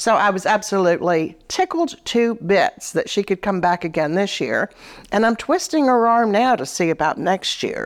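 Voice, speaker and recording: At a moderate pace, a woman with an unremarkable speaking voice talks at a medium pitch with lively intonation. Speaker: animal rescue co-founder. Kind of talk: casual interview. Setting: in a living room.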